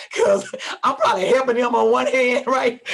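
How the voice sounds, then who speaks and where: The tone is animated, at a fairly quick pace. Noticeable background noise sits behind it. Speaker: podcast host. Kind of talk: casual interview.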